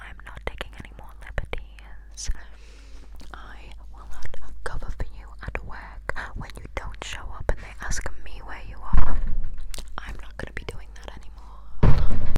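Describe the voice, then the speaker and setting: A fairly slow whisper broken by long, frequent pauses, over noticeable background noise. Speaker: ASMR creator. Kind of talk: made-up gossip storytelling. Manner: whispered.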